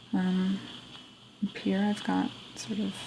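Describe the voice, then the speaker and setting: The speaker is soft-spoken, with a calm tone and a fairly slow pace. Noticeable background noise runs underneath. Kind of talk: soft-spoken game tour. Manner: soft-spoken, calm.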